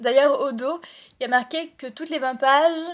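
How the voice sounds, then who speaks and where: A woman at a moderate pace, fairly even in intonation, on a very clean recording with a silent background. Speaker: book vlogger. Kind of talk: casual book haul monologue. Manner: hesitant with many fillers.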